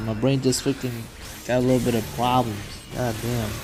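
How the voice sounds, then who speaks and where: There's audible echo from the room along with noticeable noise in the background. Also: man. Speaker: gaming youtuber. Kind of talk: gameplay commentary. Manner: rambling, halting.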